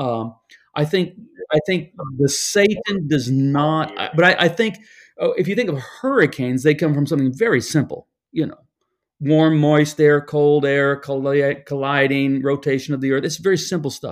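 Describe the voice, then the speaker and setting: On a very clean recording with a silent background, a man with an American accent speaks at a moderate pace and a fairly high pitch, with ordinary pitch variation. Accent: American with a twang. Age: 60s. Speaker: pastor and author.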